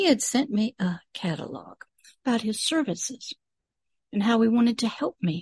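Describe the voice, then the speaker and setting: A woman with a fairly high pitch speaks at a fairly slow pace, her intonation lively and her voice somewhat breathy. The sound is dry and close, with no echo. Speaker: pastor. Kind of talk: video teaching.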